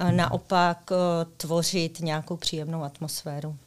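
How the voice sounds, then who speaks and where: In a very clean recording with a silent background, a woman talks in a normal speaking voice. Her pitch is fairly low and her pace fairly slow. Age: 40s. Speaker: secondary school teacher. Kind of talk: interview.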